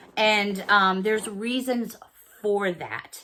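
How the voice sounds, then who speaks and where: Loud and fairly high-pitched, a woman speaks with a bright, sharp tone. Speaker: YouTube haul vlogger. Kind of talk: casual chat.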